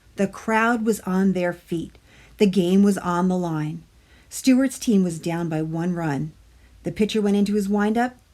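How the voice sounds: The pitch moves with ordinary variation. It is a natural reading voice.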